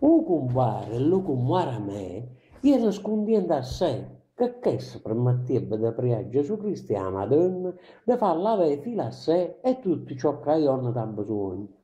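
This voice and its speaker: In an Apulian accent, a man speaks with a fairly high, somewhat breathy voice that makes very wide pitch swings. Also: moderate pace. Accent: Ginosa dialect of Apulia. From Apulia, southern Italy. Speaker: poet. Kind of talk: poetry reading. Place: home room. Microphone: camera far.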